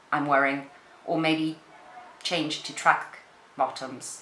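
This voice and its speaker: A woman speaks over noticeable background noise. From Portugal. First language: Portuguese. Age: 30s. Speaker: beauty YouTuber and actress. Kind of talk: casual chat. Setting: home spare room, camera on tripod. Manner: rambling, halting.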